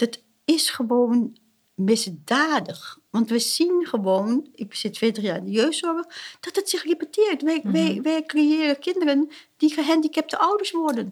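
At a fairly slow pace, a woman speaks in a high pitch with very wide pitch swings. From Suriname. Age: 60s. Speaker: family therapist. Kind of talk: interview. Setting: at her home. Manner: halting.

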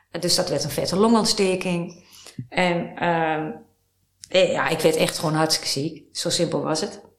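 A woman speaks with fairly even intonation in a fairly low pitch. Room echo is audible. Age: 50s. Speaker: writer and life-course therapist. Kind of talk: interview.

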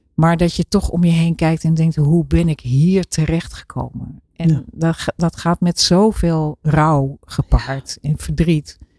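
A woman speaks at a very slow pace with a very deep, low pitch, a dark, mellow tone and a somewhat breathy quality. Her intonation stays fairly even with hardly any pauses, in a dry, close sound with no echo. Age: 60s. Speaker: author and program maker. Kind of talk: casual chat. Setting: studio.

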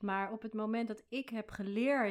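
A woman speaks in a plain, everyday voice at a fairly slow pace. Her pitch is fairly high, with ordinary pitch variation. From Rotterdam, Netherlands. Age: 40s. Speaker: foundation founder and motivational speaker. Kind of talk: interview.

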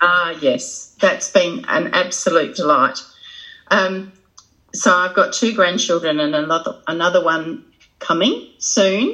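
A woman with an Australian accent, fairly low in pitch, bright and sharp in tone, with lively intonation at a fairly slow pace. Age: 60s. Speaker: social worker and trainer. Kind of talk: casual interview. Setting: video call.

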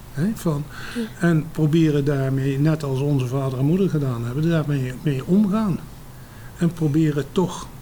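Fairly slow male speech against noticeable background noise. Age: 70s. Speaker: war evacuee eyewitness. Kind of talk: oral history interview.

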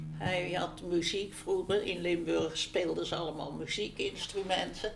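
Over noticeable background noise, a woman with a fairly low pitch talks at a moderate pace with fairly even intonation. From Netherlands, Utrecht. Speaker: interviewee, local resident. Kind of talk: oral history interview.

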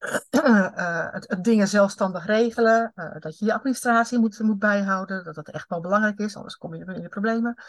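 A woman talks at a fairly quick pace in a medium pitch, with hardly any pauses and ordinary pitch variation. Her voice is somewhat breathy, with big swings in loudness. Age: 50s. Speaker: HR consultant and coach. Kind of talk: interview.

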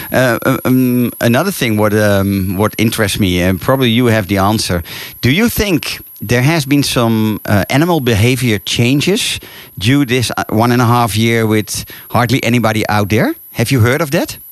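A man at a medium pitch with a Dutch accent. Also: ordinary pitch variation, moderate pace, very even loudness. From Netherlands. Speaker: radio host and safari tour operator. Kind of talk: radio interview. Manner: halting.

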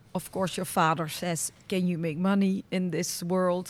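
A woman with a Dutch accent speaks at a fairly slow pace. Her pitch sits fairly low. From Netherlands. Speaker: podcast host. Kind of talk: interview. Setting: on location at a stud farm.

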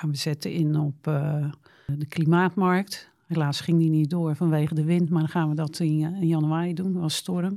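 A woman's fairly low, dark, mellow voice at a moderate pace with monotone, flat intonation, on a very clean recording with a silent background. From Netherlands, Rotterdam. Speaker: local politician. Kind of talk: interview.

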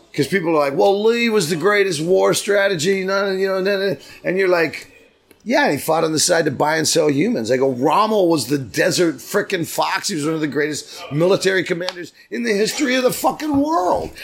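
Man with an American accent, a high pitch and lively intonation, at a fairly quick pace. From US West Coast, San Diego. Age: 60s. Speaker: singer-songwriter. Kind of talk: casual interview. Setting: pub.

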